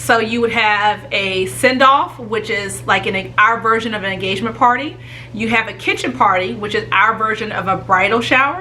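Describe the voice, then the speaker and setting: The speech moves at a moderate pace with hardly any pauses and ordinary pitch variation. Noticeable background noise and audible room echo are present. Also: woman, fairly high pitch for a woman. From Northern Virginia, US. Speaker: travel vlogger. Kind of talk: vlog monologue.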